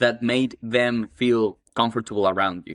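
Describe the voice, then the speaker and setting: In an Ecuadorian accent, a man of medium pitch speaks at a fairly slow pace with ordinary pitch variation, the sound dry and close with no echo against a quiet background. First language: Spanish. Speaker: cleaning business owner. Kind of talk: casual interview chat.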